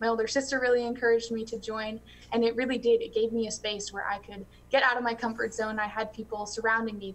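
A woman speaks at a very fast pace in a fairly high, somewhat breathy voice. Her intonation is monotone and flat, over light background noise. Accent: American. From US Midwest, north central Illinois. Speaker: college student and youth farm organization officer. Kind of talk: interview. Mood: warm, heartfelt, smiling. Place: home room. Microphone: video call.

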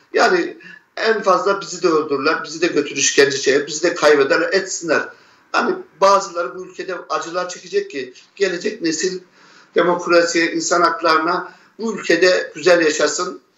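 Amid audible room echo, a man with a high pitch and fairly even intonation talks at a moderate pace, with big swings in loudness. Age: 50s. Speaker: relative of a disappeared person. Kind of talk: testimony; interview answer. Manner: halting. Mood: grieved, defiant. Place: home room. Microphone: earbuds.

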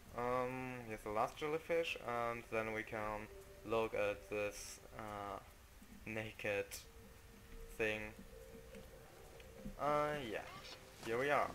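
Speaking very slowly with long, frequent pauses, a man with a non-native accent keeps a medium pitch and fairly even intonation. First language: non-native English speaker. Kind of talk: casual video game commentary.

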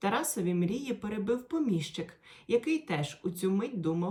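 Lively intonation in a natural reading voice

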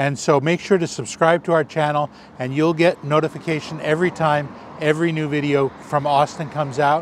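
With an American accent, a man speaks at a fairly quick pace in a fairly high pitch, his intonation monotone and flat, the sound dry with no echo and light noise in the background. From California. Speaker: food travel vlogger. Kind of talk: outro to camera; casual chat. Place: street. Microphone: lapel.

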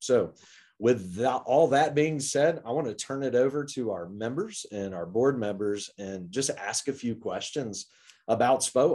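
A man's fairly slow speech has lively intonation, with a quiet background behind him. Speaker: executive director hosting the call. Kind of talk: meeting introduction. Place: office. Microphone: video call.

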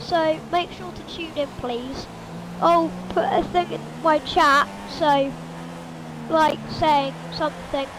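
A woman talks very slowly with long, frequent pauses and big swings in loudness, over noticeable background noise. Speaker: gamer. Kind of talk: casual gameplay commentary. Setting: home, speaking into a mic while gaming. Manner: animated, excitable.

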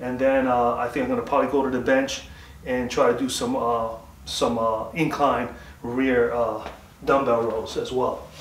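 Light background noise and audible room echo surround a man speaking in a monotone, flat intonation at a moderate pace. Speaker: home fitness vlogger. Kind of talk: casual workout tutorial talk. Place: garage. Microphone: camera far.

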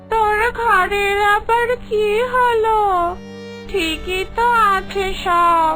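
In a cartoonish character voice pitched extremely high, the speaker talks at a very slow pace over loud background music. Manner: brusque, teasing.

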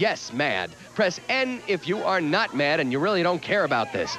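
A man talks with very wide pitch swings. The sound is dry with no echo, though there is noticeable background noise. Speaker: TV talk show host. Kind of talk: talk show hosting. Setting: studio with audience. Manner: animated.

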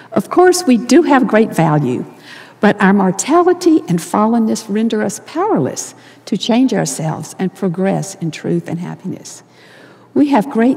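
A woman speaks with an American accent at a moderate pace. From US South. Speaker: church leader giving devotional; speaker. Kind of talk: sermon. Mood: earnest, warm. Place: hall. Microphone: lapel.

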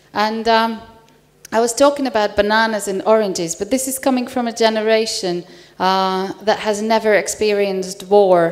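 Someone with a Hungarian accent speaks at a fairly slow pace, with ordinary pitch variation. The background is quiet. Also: woman. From Hungary. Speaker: panel moderator, assistant professor. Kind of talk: conference panel moderation. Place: hall. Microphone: handheld.

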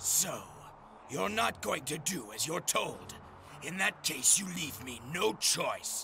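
A man's put-on character voice, high in pitch and fairly slow, over clear background noise. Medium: read story. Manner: intense, swinging from proud self-assurance to guilt and cold resolve.

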